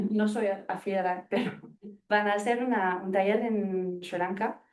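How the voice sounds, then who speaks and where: A woman with a non-native accent, medium in pitch and dark, mellow in tone, at a fairly slow pace with fairly even intonation. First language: not Spanish (speaking Spanish). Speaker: evaluation consultant in international aid. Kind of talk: audience question at seminar. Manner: halting.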